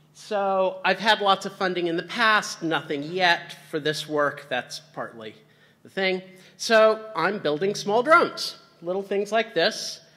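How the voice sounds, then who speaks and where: At a fairly slow pace, a man speaks in a raised, projected voice with ordinary pitch variation. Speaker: keynote speaker. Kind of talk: conference talk. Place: stage.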